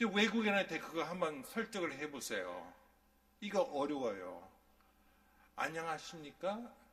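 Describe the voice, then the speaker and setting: Amid audible room echo, a man speaks at a high pitch and a fairly slow pace, with very wide pitch swings and long, frequent pauses. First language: English (speaking Korean). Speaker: pastor. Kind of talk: sermon. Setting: church.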